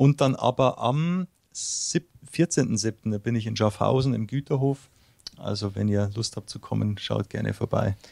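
A man with a Bavarian accent talks at a very slow pace, in a medium pitch with ordinary pitch variation. His tone is dark and mellow, and the sound is dry and close with no echo. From Bavaria, Munich area. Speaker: singer-songwriter. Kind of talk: interview. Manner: hesitant, many fillers.

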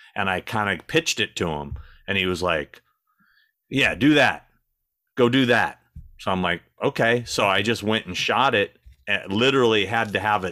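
On a very clean recording with a silent background, a man with a fairly low pitch and a bright, sharp tone speaks at a moderate pace with lively intonation and long, frequent pauses. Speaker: YouTube creator and celebrity talent agent. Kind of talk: casual chat.

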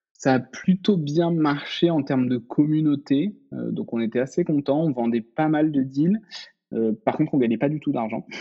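An unremarkable speaking voice. Its pitch varies in an ordinary way, at a moderate pace. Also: man, fairly high pitch for a man. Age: 30s. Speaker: startup founder. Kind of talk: casual interview.

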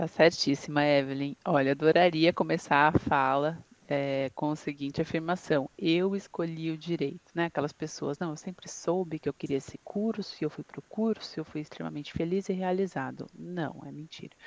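A woman's very deep, low voice at a moderate pace, with fairly even intonation, hardly any pauses, and a dry, close sound with no echo. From São Bernardo do Campo, São Paulo, Brazil. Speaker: law professor and lawyer. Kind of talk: casual panel chat.

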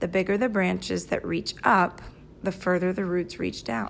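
A woman talks at a moderate pace in an American accent. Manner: relaxed, low-key, reflective.

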